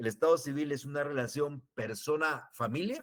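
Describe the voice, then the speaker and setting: A man with an unremarkable speaking voice talks at a moderate pace in a medium pitch. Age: 60s. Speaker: law professor. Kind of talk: lecture. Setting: online class transmission.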